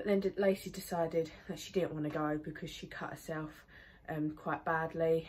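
A woman speaks at a moderate pace. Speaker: horse owner vlogger. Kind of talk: casual vlog chat. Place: farm machine. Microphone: phone near.

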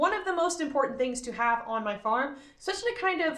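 A woman speaks at a high pitch with very wide pitch swings. Her pace is fairly quick. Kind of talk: casual vlog chat. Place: farm machine. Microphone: phone near.

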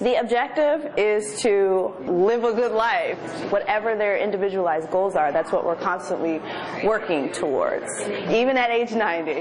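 A woman at a moderate pace, fairly high in pitch, with very even loudness and noticeable background noise. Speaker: exercise physiologist. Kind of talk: interview answer. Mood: warm, positive. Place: gym.

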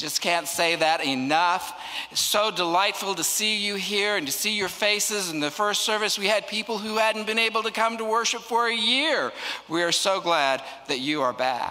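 A man projects a raised voice at a moderate pace. His intonation is lively. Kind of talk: welcome and announcements. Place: church. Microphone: handheld.

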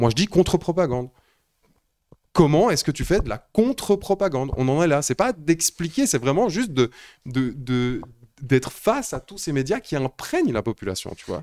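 Against a quiet background, a man's voice moves in very wide pitch swings. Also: fairly high pitch for a man, moderate pace. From Switzerland. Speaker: live stream host. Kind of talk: casual chat. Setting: live stream studio. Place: home room. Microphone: handheld.

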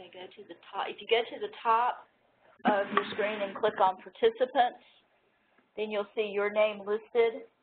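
Monotone, flat intonation marks a woman speaking at a fairly slow pace. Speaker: technical assistant and co-presenter; presenter. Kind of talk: webinar instructions. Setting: online webinar. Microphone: video call.

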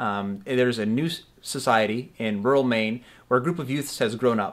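On a very clean recording with a silent background, a plain, everyday voice proceeds at a moderate pace. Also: man. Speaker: audio drama director. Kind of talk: promotional pitch to camera. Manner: casual.

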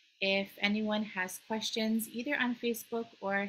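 A woman's bright, sharp tone at a fairly slow pace over light background noise. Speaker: webinar host. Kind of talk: host introduction and housekeeping. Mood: friendly, smiling. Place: home room.

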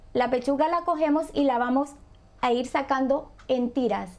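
A woman talks in a high pitch at a very slow pace. Her pitch varies in an ordinary way. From Colombia, Buenaventura (Pacific coast); Colombia. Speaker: home cook; guest. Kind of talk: cooking tutorial. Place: kitchen.

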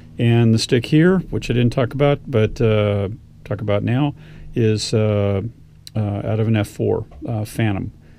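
A man speaks at a moderate pace in a fairly low voice. His tone is dark and mellow, with vocal fry.

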